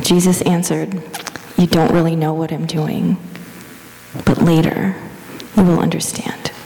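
A woman with a fairly low pitch speaks in a gentle, soothing tone and a flat, monotone intonation, leaving long and frequent pauses over noticeable background noise. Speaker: church lay leader. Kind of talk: guided meditation, slow and hushed, with calm prayer. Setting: church. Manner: soft-spoken; slow, gentle, soothing pace with pauses.

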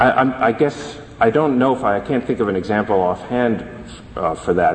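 Over noticeable background noise, a man speaks at a moderate pace and medium pitch, with ordinary pitch variation and hardly any pauses. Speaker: government attorney. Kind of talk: appellate oral argument. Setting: courtroom. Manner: formal.

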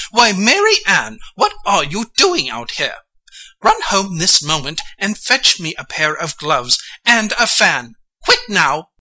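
Someone puts on a character voice with a fairly high pitch, speaking at a fairly slow pace. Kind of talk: dramatic reading of a children's classic. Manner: fussy, anxious, bossy.

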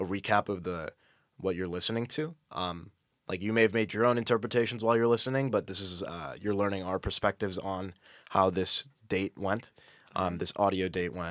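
Speaking fairly quickly with an American accent, a man uses ordinary pitch variation. The recording is very clean, with a silent background. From US Midwest, Naperville, Illinois. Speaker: engineering student. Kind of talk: casual chat. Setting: studio.

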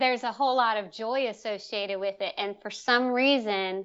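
Someone with an American accent speaks at a moderate pace with ordinary pitch variation. It is an unremarkable speaking voice. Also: woman. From Salisbury, Maryland (Eastern Shore). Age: 30s. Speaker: painter and illustrator. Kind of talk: interview.

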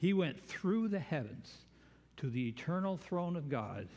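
A somewhat breathy male voice with lively intonation. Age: 70s. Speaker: preacher. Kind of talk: sermon. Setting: church.

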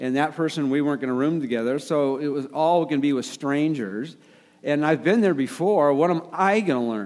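This man talks at a fairly quick pace with a fairly high pitch. His pitch variation is ordinary. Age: 60s. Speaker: pastor. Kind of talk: sermon. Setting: church. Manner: halting.

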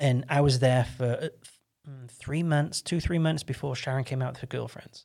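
This man talks at a very fast pace in a fairly high pitch, his intonation fairly even, on a very clean recording with a silent background. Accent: American. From England, Stoke-on-Trent. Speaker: podcast guest, church member. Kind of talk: casual interview chat.

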